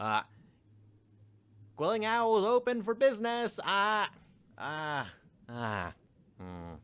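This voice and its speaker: Putting on a character voice, a man talks at a fairly slow pace and high pitch, with long, frequent pauses. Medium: actual play. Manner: listless, sighing.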